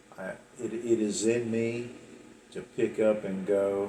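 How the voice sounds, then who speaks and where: In a room with audible echo, a man with an Appalachian accent speaks at a very slow pace, his medium-pitched voice keeping fairly even intonation. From West Virginia. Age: 60s. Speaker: storyteller recounting his life. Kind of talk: personal life story monologue. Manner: halting, many repeats and fillers.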